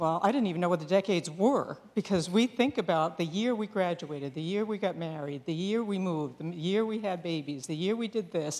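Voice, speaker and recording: A woman with an ordinary speaking voice. She talks at a fairly quick pace and a medium pitch. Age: 60s. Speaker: nurse executive and invited speaker. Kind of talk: talk to a small audience. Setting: small room with audience, being videotaped. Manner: conversational, with filler sounds.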